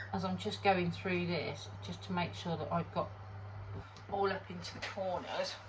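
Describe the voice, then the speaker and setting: A British accent at a fairly slow pace, over noticeable background noise. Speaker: resin crafter. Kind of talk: tutorial. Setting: home workshop. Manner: casual, hesitant.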